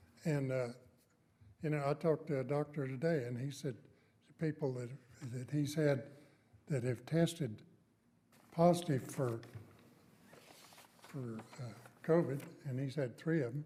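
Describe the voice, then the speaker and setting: A man with a fairly high pitch and a dark, mellow tone sounds somewhat breathy. He talks at a moderate pace with fairly even intonation and long, frequent pauses. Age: 80s+. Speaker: city council member. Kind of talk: council meeting remarks. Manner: halting, repeats words.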